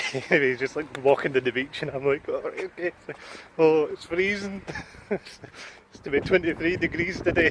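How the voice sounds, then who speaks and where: A man with a Glasgow accent speaks at a fairly high pitch. There is noticeable background noise. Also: ordinary pitch variation, moderate pace. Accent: Glasgow Scottish. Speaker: vlogger. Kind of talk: casual vlog.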